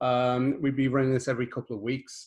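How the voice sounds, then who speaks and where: This man has a British accent. He talks at a moderate pace with a medium pitch. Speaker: solutions architect. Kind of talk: webinar presentation. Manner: halting.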